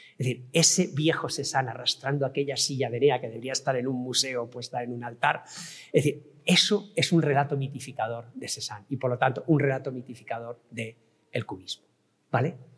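A man with a somewhat breathy voice talks at a fairly quick pace. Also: medium pitch for a man, ordinary pitch variation. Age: 60s. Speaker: professor and digital art expert. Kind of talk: lecture.

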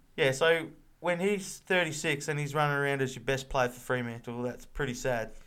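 With an Australian accent, a man talks at a fairly quick pace in a bright, sharp tone with ordinary pitch variation. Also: fairly high pitch for a man. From Victoria, Australia. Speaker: footy podcast co-host. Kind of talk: casual chat.

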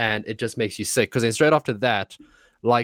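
Recorded very cleanly over a silent background, a man has a plain, everyday voice at medium pitch. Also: dry, close sound with no echo. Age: 20s. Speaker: streamer. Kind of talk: casual chat.

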